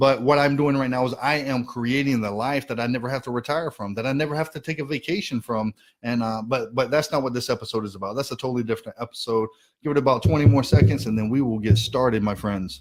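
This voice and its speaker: A man with a medium-pitched voice talks at a very fast pace in an American accent. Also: ordinary pitch variation. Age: 30s. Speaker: financial educator. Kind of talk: live stream presentation. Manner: animated.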